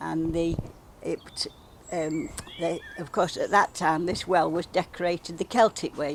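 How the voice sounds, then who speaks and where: A woman with a Derbyshire accent speaks at a fairly slow pace over noticeable background noise. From England, Derbyshire (Belper). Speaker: village well dressing organiser. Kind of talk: casual interview.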